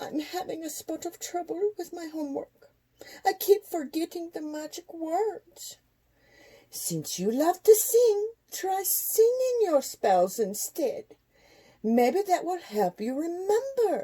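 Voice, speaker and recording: Putting on a squeaky character voice, a woman speaks fairly slowly at an extremely high pitch. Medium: read story. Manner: gentle, teacherly.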